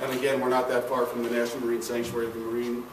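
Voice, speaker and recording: Over noticeable background noise, a man talks at a very fast pace in a medium-pitched voice. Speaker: retired campus architect. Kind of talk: lecture. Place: hall. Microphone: camera far.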